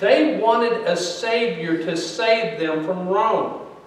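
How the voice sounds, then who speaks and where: Speaking at a fairly slow pace, a man with a high-pitched voice is heard with audible room echo. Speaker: pastor. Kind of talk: sermon. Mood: earnest teaching. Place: church. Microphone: podium.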